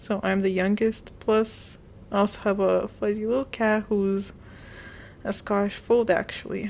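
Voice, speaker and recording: Her medium-pitched voice carries monotone, flat intonation. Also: fairly slow pace. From grew up abroad, born in Eastern Europe. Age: 20s. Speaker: vlogger. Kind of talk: casual chat. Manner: hesitant, filler-heavy.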